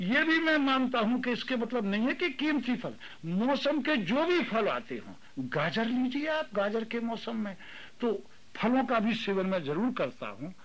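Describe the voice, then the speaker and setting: The speaker's intonation is lively, with audible room echo. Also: man, extremely high pitch for a man. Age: 70s. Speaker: retired teacher and private tutor. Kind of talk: interview.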